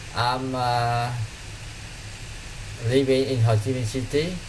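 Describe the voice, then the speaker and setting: Delivery is fairly slow, with monotone, flat intonation. Audible room echo and noticeable background noise fill the recording. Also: man. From Vietnam. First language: Vietnamese. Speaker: English learner, IT engineer. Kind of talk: online English lesson. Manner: halting, many fillers.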